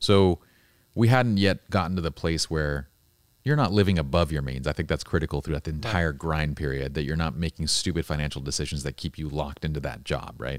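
With a very deep, low pitch and vocal fry, a man speaks at a fairly quick pace with ordinary pitch variation in a dry, close sound with no echo. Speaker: podcast host. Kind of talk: casual interview conversation. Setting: studio. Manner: animated, casual.

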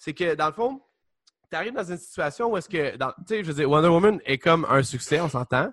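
In a Quebec accent, a man with a high pitch talks at a very fast pace. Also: lively intonation. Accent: Québécois French. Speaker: podcast co-host. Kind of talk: casual chat.

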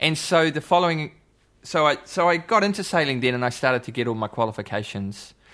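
A man speaks very fast with a New Zealand accent and lively intonation. The recording is very clean, with a silent background. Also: fairly high pitch for a man. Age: 40s. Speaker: musician. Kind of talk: casual chat.

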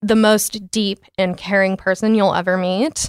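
A woman with an American accent talks at a medium pitch and a moderate pace, a plain, everyday voice. The sound is dry and close with no echo, in a very clean recording with a silent background. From US, Dallas suburbs, Texas. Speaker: tech businesswoman. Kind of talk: casual chat.

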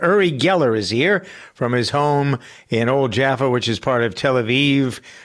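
A man with a plain, everyday voice speaks at a fairly high pitch. The recording is very clean, with a silent background. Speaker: radio host. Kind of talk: casual interview chat.

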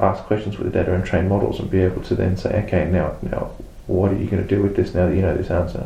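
With audible room echo, a man talks at a fairly quick pace and fairly low pitch. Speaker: database consultant and trainer. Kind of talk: interview. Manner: halting, many repetitions.

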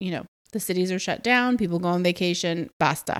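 A woman speaks with an American accent at a moderate pace, her medium-pitched voice animated. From Atlanta, US South. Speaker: travel podcast host. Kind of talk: casual monologue.

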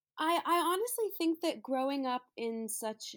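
An unremarkable speaking voice from a woman with an American accent, at a moderate pace with lively intonation. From New York. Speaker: singer-songwriter. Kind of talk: casual interview chat. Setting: remote call.

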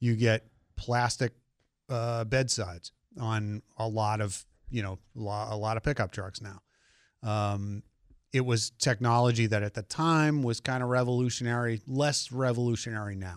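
Captured on a very clean recording with a silent background and a dry, close sound with no echo, a man with an ordinary speaking voice talks at a moderate pace in a medium pitch with fairly even intonation. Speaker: car journalist guest. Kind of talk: casual radio chat about cars. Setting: radio studio.

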